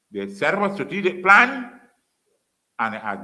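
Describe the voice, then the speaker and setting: Bright and sharp in tone, a man talks at a fairly quick pace with very wide pitch swings. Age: 70s. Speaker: former politician and lecturer. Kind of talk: public lecture. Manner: animated.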